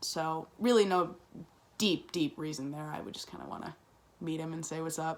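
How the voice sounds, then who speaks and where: A woman with a very deep, low pitch speaks with big swings in loudness and ordinary pitch variation. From Chicago south suburbs, US Midwest. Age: 20s. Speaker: college student. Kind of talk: class assignment self-introduction video. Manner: fast; many fillers (um, uh, like).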